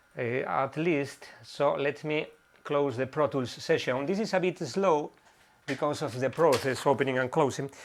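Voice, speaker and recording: A man with a strong Spanish accent, fairly high pitch, ordinary pitch variation and a moderate pace. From northwest Spain. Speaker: synth musician live streamer. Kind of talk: live stream chat with viewers. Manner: halting.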